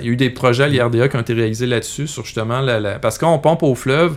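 The speaker has a Quebec accent and ordinary pitch variation. Noticeable background noise runs under the voice. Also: man. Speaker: agronomist and researcher. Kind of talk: interview. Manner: halting.

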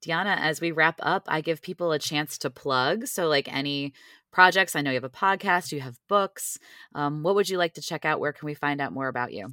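In a very clean recording with a silent background and a dry, close sound with no echo, a woman speaks with a very deep, low pitch. Her tone is bright and sharp, her pace fairly quick, and her pitch variation ordinary. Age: 40s. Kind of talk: casual faith conversation. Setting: walking while talking.

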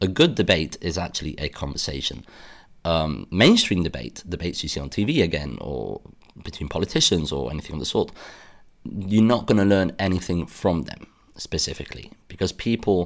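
A man with a British accent talks at a fairly quick pace in a very deep, low pitch with vocal fry and lively intonation on a very clean recording with a silent background. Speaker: podcast host. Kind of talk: solo monologue podcast episode. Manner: earnest, somewhat halting with repetitions.

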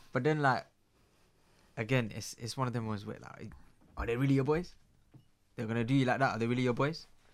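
A man with a London accent, very fast between long, frequent pauses, medium-pitched, with fairly even intonation. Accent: London multicultural youth English. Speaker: guest. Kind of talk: casual interview chat. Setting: studio.

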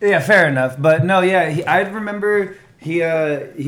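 A man with an American accent talks in an animated tone with lively intonation, and room echo is audible. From California, Norco (Inland Southern California). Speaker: martial arts content creator. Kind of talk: casual chat.

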